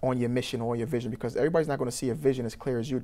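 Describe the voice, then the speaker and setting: With a dark, mellow tone, a man talks at medium pitch with fairly even intonation. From Trinidad, moved to Brooklyn at eight. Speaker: youth program founder and motivational speaker. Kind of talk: interview. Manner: halting, many fillers and repetitions.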